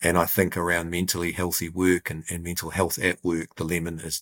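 A man with a New Zealand accent speaks fairly quickly in a very deep, low, monotone voice with flat intonation. The recording is very clean and dry, close with no echo, over a silent background. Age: 40s. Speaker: business safety forum chief executive. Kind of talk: interview.

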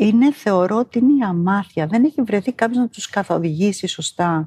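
This woman's voice has a dark, mellow tone, somewhat breathy, at a medium pitch with very wide pitch swings, and the sound is dry and close with no echo. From New Zealand, moved to Greece at 12. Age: 50s. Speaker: interviewee. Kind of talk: interview.

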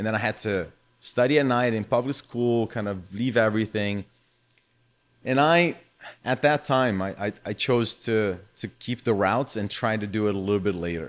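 With a Brazilian accent, a man speaks at a moderate pace. His pitch is fairly low and his pitch variation ordinary. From São Paulo, Brazil. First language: Portuguese. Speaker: footvolley founder and former athlete. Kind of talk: casual interview.

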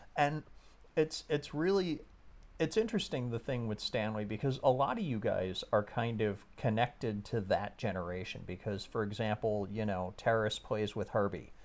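A man speaks at medium pitch and a moderate pace, with ordinary pitch variation and a plain, everyday voice. The recording is very clean, with a silent background. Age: 50s. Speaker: podcast host. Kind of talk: casual chat.

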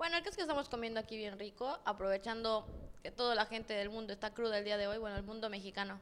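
Speaking at a very fast pace, a woman uses a fairly high pitch with ordinary pitch variation. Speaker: podcast co-host. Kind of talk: casual chat. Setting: outdoors.

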